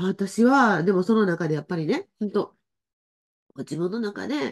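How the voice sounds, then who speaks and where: A woman speaks against a quiet background. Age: 60s. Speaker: spiritual life coach. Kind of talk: casual livestream talk. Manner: chatty, many fillers. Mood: warm, friendly. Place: home room.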